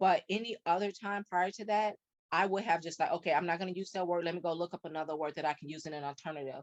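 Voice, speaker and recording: Dry and close with no echo, a woman talks at a very fast pace with a slight Chicago accent. Her intonation stays fairly even. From US Midwest, South Side of Chicago. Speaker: podcast guest. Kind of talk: interview conversation. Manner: fast talker, words run together; hesitant with fillers.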